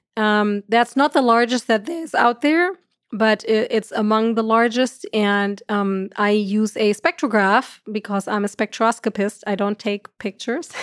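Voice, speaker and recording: A woman with a German accent speaks at a fairly high pitch and a fairly slow pace with ordinary pitch variation, in a dry, close sound with no echo on a very clean recording with a silent background. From Germany. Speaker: astrophysicist. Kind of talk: interview conversation.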